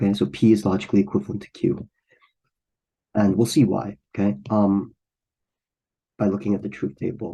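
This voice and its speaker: A man's fairly low, dark, mellow voice with vocal fry, at a fairly quick pace broken by long, frequent pauses. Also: ordinary pitch variation. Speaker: math tutor. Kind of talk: tutorial. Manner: hesitant, many fillers.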